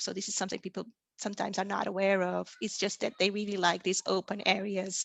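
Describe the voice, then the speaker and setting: Speaking in a Portuguese accent, this voice stays monotone with flat intonation. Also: woman. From Portugal. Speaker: plant taxonomist. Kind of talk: lecture.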